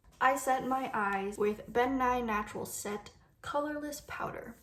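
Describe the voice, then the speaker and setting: A woman talks fairly slowly, her pitch varying in an ordinary way, while noticeable background noise and audible room echo fill the recording. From Vancouver, Canada. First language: Cantonese. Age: 20s. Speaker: beauty YouTuber. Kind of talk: makeup tutorial with Q&A. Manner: casual, chatty.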